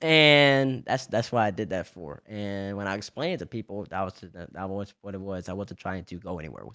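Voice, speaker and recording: A man with a slight Southern US accent talks fairly quickly with hardly any pauses, using a fairly low, bright, sharp voice, lively intonation and big swings in loudness. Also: very clean recording, silent background. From US South, Louisiana (Baton Rouge). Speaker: esports player and analyst. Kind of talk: interview. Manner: fast; animated.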